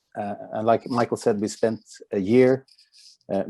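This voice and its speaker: Against a quiet background, a man with a Norwegian accent talks at a moderate pace, his tone dark and mellow and his intonation fairly even. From Norway. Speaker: company executive presenting a product. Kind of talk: product presentation.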